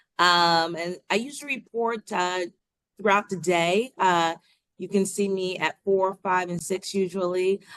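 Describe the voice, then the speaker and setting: With a slight Long Island accent, a woman speaks at a moderate pace in a fairly low voice. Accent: subtle Long Island. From Long Island, New York. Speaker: TV news reporter. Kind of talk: interview.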